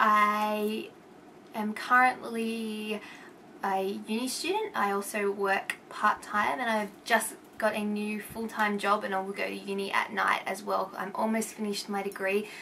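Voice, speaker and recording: With an Australian accent, a woman speaks fairly slowly in a fairly high pitch with fairly even intonation. Noticeable background noise sits behind her. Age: 20s. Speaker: vlogger. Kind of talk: casual vlog. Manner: rambling, hesitant.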